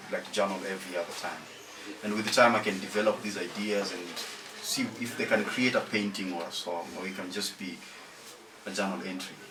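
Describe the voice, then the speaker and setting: A man with a Kenyan accent speaks in a fairly low pitch with monotone, flat intonation and long, frequent pauses. Noticeable background noise and audible room echo are present. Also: fairly quick pace. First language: Luo. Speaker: musician. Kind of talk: interview.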